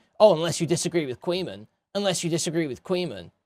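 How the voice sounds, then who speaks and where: Doing a put-on character voice, a man talks at a very fast pace in a high pitch with ordinary pitch variation, in a very clean recording with a silent background and a dry, close sound with no echo. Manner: snarky.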